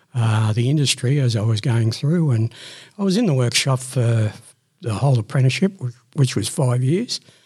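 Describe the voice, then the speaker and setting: On a very clean recording with a silent background, a man with an Australian accent speaks in a dark, mellow, somewhat breathy tone at a moderate pace with ordinary pitch variation. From Sydney, Australia. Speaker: retired electrical fitter and manager. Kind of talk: casual chat.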